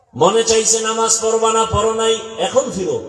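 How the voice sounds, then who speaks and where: Noticeable background noise accompanies a man speaking at a high pitch. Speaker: Islamic preacher (waz speaker). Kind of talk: passionate Islamic sermon to youth. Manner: emphatic, admonishing, emotional.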